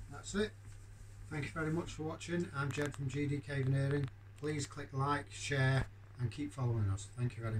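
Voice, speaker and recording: Over clearly audible background noise, a man talks at a moderate speed, his pitch varying in an ordinary way. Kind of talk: tutorial. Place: workshop. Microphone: phone near.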